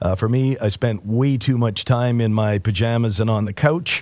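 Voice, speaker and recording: A man with a Canadian accent has an unremarkable speaking voice at medium pitch with ordinary pitch variation against a quiet background. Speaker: radio host. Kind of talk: radio show patter, morning news-talk host chat. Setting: radio studio. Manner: relaxed, conversational, with frequent 'uh' fillers.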